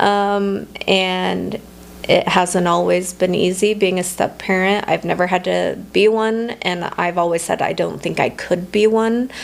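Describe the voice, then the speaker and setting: A woman talks at a fairly slow pace in a monotone, flat voice over noticeable background noise. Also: medium pitch for a woman. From Nevada, US. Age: 30s. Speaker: entrepreneur. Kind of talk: interview. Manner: halting.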